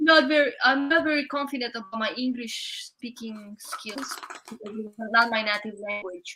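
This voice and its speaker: This voice has a Romanian accent and a moderate pace. Its loudness swings a lot, while its pitch variation is ordinary. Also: woman, high pitch for a woman. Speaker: guest. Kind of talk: casual chat. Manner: halting.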